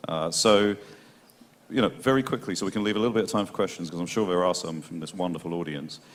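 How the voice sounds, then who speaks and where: He has a British accent. The man's very deep, low pitch moves with ordinary variation. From Britain. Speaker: panel moderator. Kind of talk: panel discussion. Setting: stage with audience. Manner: fast.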